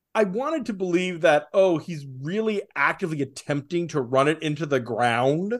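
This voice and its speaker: A man with an ordinary speaking voice and a fairly high pitch speaks with lively intonation against a quiet background. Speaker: podcast host. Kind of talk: casual chat.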